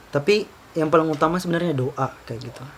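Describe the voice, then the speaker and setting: At a moderate pace, a man with a fairly high voice speaks with fairly even intonation. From Southeast Sulawesi (Baubau, Buton). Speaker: university student leader. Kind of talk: casual interview chat. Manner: casual, hesitant with fillers.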